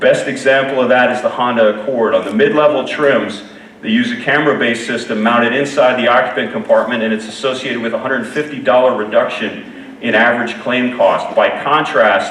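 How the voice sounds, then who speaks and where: A man at a fairly quick pace with hardly any pauses, amid audible room echo and noticeable background noise. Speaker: keynote speaker, insurance safety researcher. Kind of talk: conference keynote presentation. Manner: fast.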